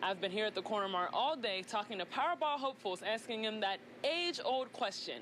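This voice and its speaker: Over noticeable background noise, a woman with an American accent speaks fairly quickly in a fairly high pitch with lively intonation. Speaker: television news reporter, multimedia journalist. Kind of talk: TV news reporter package and standup.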